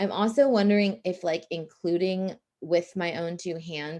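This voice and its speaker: A woman's fairly low, dark, mellow voice at a fairly slow pace against a quiet background. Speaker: nonprofit fundraising coach. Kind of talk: live online training. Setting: livestream with screen share. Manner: casual, filler-heavy.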